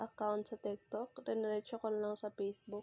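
A woman's fairly high-pitched voice with a dark, mellow tone, dry and close with no echo. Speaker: YouTuber. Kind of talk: tutorial. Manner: halting.

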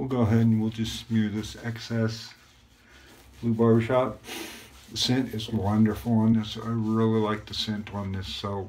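The tone is relaxed and the pace moderate. Intonation stays monotone and flat. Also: man, medium pitch for a man. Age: 50s. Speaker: YouTuber reviewing shaving gear. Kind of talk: casual vlog monologue with shaving tutorial. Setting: at home, recording himself. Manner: relaxed, filler-heavy. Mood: relaxed, pleased. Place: bathroom. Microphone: phone near.

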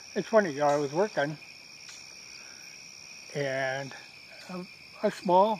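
A man speaks while noticeable background noise stays audible throughout. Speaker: vlogger. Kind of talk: casual vlog chat. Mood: relaxed and amused. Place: garden.

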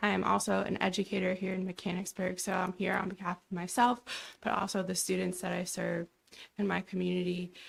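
A woman talks at a moderate pace and a medium pitch, with fairly even intonation. Her voice is shaky and carries vocal fry. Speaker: teacher, public commenter. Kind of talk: public comment at council meeting. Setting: council meeting room.

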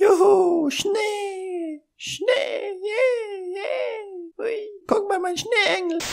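In a put-on character voice, the speaker talks very slowly at an extremely high pitch. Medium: dub. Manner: playful, excited.

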